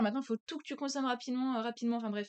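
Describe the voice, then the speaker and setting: In a dry, close sound with no echo, a woman talks with ordinary pitch variation. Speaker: podcast guest, friend of host. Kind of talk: casual chat. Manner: fast.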